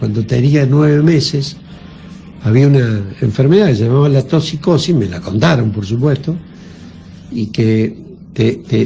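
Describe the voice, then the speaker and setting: Noticeable background noise sits behind a man with a medium pitch. He talks at a moderate pace with ordinary pitch variation. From Argentina, San Luis (Villa Mercedes). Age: 60s. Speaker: politician. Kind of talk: radio interview.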